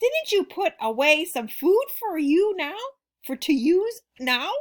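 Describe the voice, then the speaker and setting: A put-on character voice at a fairly slow pace. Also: woman, extremely high pitch for a woman. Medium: read story. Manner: stern, mean.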